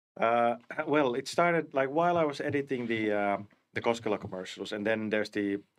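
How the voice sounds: This man speaks at a moderate pace with a medium pitch, a clear, smooth tone and fairly even intonation.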